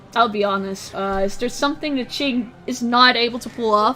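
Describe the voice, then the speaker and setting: Noticeable background noise is heard in the clip. The speaker's pitch shifts in an ordinary way. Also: woman. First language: not English. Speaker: esports commentator. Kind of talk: live commentary.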